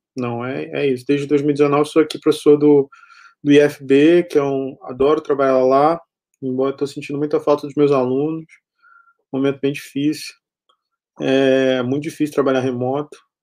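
A man's fairly high voice has a dark, mellow tone and monotone, flat intonation. He leaves long, frequent pauses. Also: moderate pace. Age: 30s. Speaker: history professor and researcher. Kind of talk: interview. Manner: halting, many repetitions.

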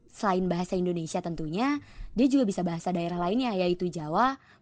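Against a quiet background, a woman with an ordinary speaking voice talks at a medium pitch and a fairly quick pace, with ordinary pitch variation. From Jakarta. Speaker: podcast co-host. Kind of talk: scripted history narration with banter. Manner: casual, upbeat.

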